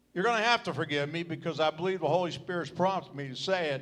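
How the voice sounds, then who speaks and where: This man talks at a fairly quick pace. His tone is bright and sharp. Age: 70s. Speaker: retired pastor. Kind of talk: speech at church celebration.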